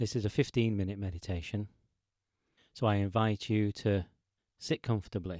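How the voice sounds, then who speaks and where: A man's fairly low, dark, mellow voice in a calm tone with fairly even intonation and long, frequent pauses, in a dry, close sound with no echo. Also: very clean recording, silent background. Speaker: meditation teacher and podcast host. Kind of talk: guided meditation. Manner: slow, calm and soft-spoken.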